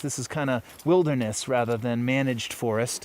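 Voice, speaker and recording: This man speaks at a medium pitch with ordinary pitch variation. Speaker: hunter and outdoor vlogger. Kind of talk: casual vlog narration. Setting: outdoors in mountains. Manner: hesitant with fillers; hushed, quiet voice.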